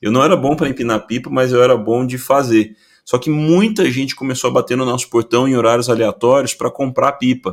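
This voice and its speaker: A man talks at a fairly quick pace in an ordinary speaking voice. His pitch is medium, with ordinary variation. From Brazil. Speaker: innovation consultant. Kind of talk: interview.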